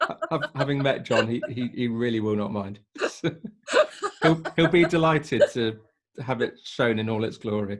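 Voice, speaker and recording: A man with an English accent talks at a moderate pace in a medium pitch. He leaves long, frequent pauses. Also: ordinary pitch variation. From England. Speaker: podcast host. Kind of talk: casual interview chat.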